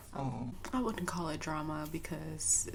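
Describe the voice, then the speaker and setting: Soft-spoken and very slow, a woman's voice makes very wide pitch swings over noticeable background noise. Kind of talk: casual storytime talk to camera.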